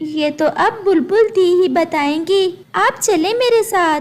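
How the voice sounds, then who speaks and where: At a moderate pace, a woman performs a cartoonish character voice at an extremely high pitch. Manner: gentle but firm.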